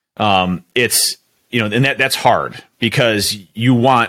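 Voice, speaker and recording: A man in a plain, everyday voice, with ordinary pitch variation at a moderate pace, in a very clean recording with a silent background. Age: 30s. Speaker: coaching client and business leader. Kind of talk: casual interview.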